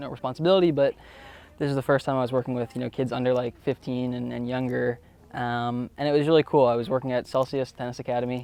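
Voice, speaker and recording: In a Florida accent, a man speaks at a medium pitch with monotone, flat intonation. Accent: American, Florida. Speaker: college tennis player. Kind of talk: interview. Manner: hesitant, many fillers.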